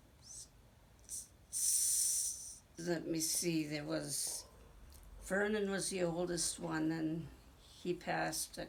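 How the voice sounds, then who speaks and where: Someone with an American accent speaks at a very slow pace with long, frequent pauses. Audible room echo surrounds the voice. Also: woman. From Green Bay, Wisconsin. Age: 70s. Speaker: interviewee, family elder. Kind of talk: oral history interview. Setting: at her home.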